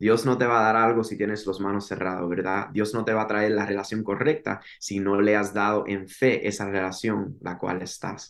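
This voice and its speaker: With an unremarkable speaking voice, a man talks at a moderate pace with hardly any pauses, fairly low pitch and fairly even intonation over a quiet background. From Miami, Florida, Cuban parents. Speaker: singer-songwriter and worship leader. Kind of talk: testimony.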